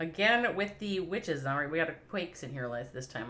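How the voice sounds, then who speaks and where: Audible room echo surrounds a woman with a Minnesotan accent and a very deep, low pitch. She speaks at a fairly quick pace with lively intonation. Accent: Minnesota. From US Midwest, Minnesota. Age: 50s. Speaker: esports commentator. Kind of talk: live commentary. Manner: animated.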